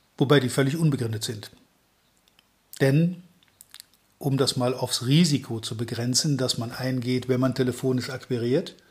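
A man, somewhat breathy, at a moderate pace and medium pitch, with fairly even intonation and long, frequent pauses. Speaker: sales trainer. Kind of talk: podcast monologue.

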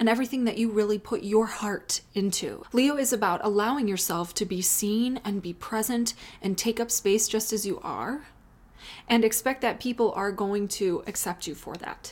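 With an American accent and a normal speaking voice, a woman speaks at a moderate pace in a fairly high pitch with ordinary pitch variation. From US Midwest, Chicago. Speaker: astrologer. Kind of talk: solo astrology reading. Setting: home office, off usual filming spot.

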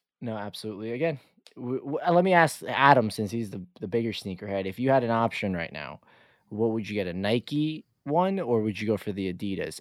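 A man in a normal speaking voice with lively intonation, on a very clean recording with a silent background. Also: medium pitch for a man. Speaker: podcast co-host. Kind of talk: casual chat.

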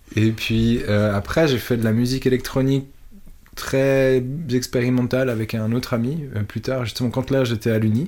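A man with a medium-pitched voice keeps his intonation fairly even while talking at a moderate speed. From Switzerland. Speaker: electronic musician. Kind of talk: interview. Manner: halting.

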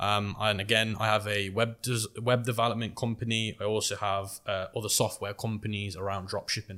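This man's voice is fairly low in pitch yet bright and sharp in tone, with monotone, flat intonation. He talks at a fairly quick pace with hardly any pauses, on a very clean recording with a silent background. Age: 20s. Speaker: entrepreneur. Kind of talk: interview.

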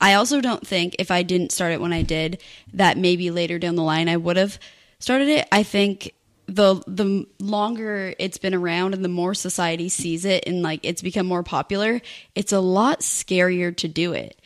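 An ordinary speaking voice belongs to a woman at medium pitch who talks at a moderate pace with ordinary pitch variation on a very clean recording with a silent background. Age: 20s. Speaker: YouTuber. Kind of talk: casual chat.

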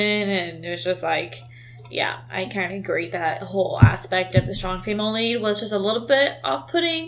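With music in the background, a woman speaks at a moderate pace in a medium pitch. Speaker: movie review podcast co-host. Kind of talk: casual chat.

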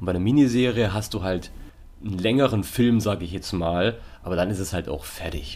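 This is a normal speaking voice with ordinary pitch variation. The pace is fairly quick. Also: man, fairly low pitch for a man. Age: 20s. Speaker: podcast co-host. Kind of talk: casual chat.

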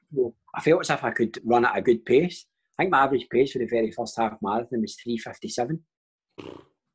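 A man's medium-pitched voice with a Glaswegian accent, at a moderate pace. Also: ordinary pitch variation. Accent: Glaswegian Scottish. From Scotland, Paisley/Glasgow area. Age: 30s. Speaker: professional footballer. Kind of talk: casual chat.

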